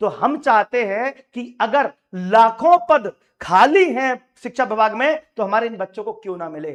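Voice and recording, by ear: Here a man speaks at an extremely high pitch and moderate pace. His intonation is lively.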